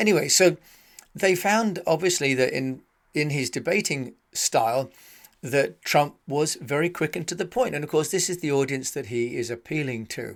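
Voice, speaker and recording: On a very clean recording with a silent background, a man with a British accent speaks at a fairly high pitch and a moderate pace with lively intonation. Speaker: podcast host. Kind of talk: podcast monologue.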